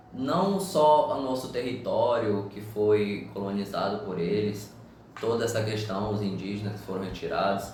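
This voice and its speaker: Lively in intonation, a man speaks at a fairly slow pace amid noticeable background noise and audible room echo. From Brazil. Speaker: podcast panelist. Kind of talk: panel discussion.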